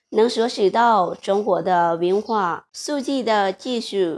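In a Lao accent, a woman speaks at a very slow pace with ordinary pitch variation. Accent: Lao-accented Mandarin. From Laos. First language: Lao (speaking Chinese). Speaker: vlogger. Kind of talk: vlog monologue. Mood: warm, earnest. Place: home room.

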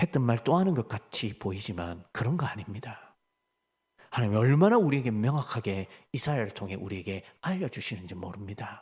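Fairly quick, somewhat breathy speech from a man at medium pitch, with lively intonation on a very clean recording with a silent background. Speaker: pastor. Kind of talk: sermon.

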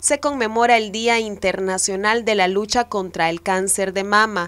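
With a normal speaking voice, a woman at a fairly high pitch speaks with ordinary pitch variation. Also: very clean recording, silent background. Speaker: TV news reporter. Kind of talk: news narration.

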